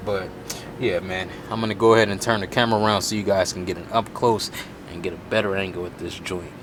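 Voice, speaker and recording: A man races along at a very fast pace while noticeable background noise carries on. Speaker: car enthusiast YouTuber. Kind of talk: DIY install tutorial. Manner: casual.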